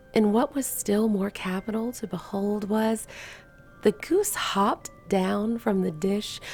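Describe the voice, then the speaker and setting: A soft-spoken woman at medium pitch, fairly slow, with ordinary pitch variation. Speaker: bridal gown seamstress. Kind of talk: story reading.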